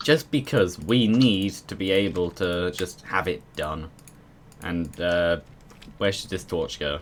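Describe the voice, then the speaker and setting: A man's very deep, low voice with lively intonation. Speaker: gaming streamer. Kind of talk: casual gameplay chat.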